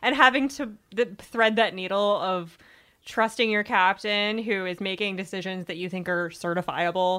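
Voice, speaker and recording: A woman with an American accent uses a plain, everyday voice at a moderate pace. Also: medium pitch for a woman, ordinary pitch variation. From Virginia. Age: 30s. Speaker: book website editor. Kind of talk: casual chat.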